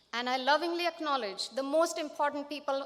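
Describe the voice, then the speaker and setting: With an Indian accent, a woman uses a raised, projected voice with a bright, sharp tone and ordinary pitch variation. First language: Marathi. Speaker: math teacher, educator of the year. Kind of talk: award acceptance speech.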